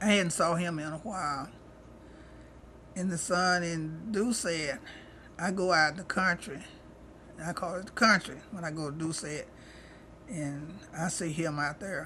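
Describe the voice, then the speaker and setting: A woman with an East Texas accent, fairly low pitch and a bright, sharp tone, at a fairly slow pace with long, frequent pauses, ordinary pitch variation and audible room echo. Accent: rural East Texas Southern. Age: 70s. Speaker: retired cook, elderly interviewee. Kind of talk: interview, life story. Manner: casual, conversational.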